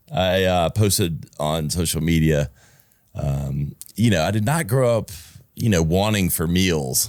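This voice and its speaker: Speaking in a Southern US accent, a man with a very deep, low pitch talks at a fairly slow pace with lively intonation. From US South, South Carolina (Easley). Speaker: podcast co-host. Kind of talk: casual chat.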